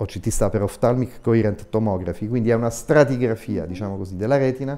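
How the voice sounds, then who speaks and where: Fairly even intonation runs through a dark, mellow tone. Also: man. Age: 60s. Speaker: eye surgeon; guest. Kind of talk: TV interview. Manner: hesitant, frequent fillers. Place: studio. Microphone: lapel.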